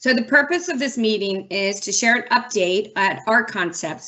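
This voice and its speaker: A woman speaks at a moderate pace in an unremarkable speaking voice, medium in pitch with ordinary pitch variation. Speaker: city transportation director. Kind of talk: public meeting opening remarks.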